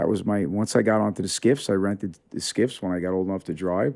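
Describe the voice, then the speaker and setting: A man with an American accent speaks at a fairly quick pace, with a fairly low pitch and a dark, mellow tone. The recording is very clean, the background silent. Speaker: charter boat captain. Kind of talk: casual chat.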